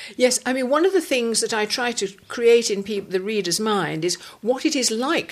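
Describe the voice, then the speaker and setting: A woman's fairly high voice, fairly quick, with very wide pitch swings over noticeable background noise. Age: 70s. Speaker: broadcaster and novelist. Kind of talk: interview answer.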